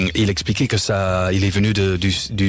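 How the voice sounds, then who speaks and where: With an English accent, a man speaks at a fairly low pitch against noticeable background noise. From England, Leeds. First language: English (speaking French). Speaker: author and English teacher, litter-picking activist. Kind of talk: radio interview.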